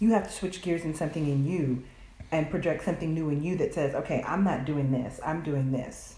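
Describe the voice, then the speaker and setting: With a Southern US accent, a woman speaks in a very deep, low pitch at a fairly quick pace and ordinary pitch variation, with audible room echo. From US South. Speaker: podcast guest. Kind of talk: casual chat.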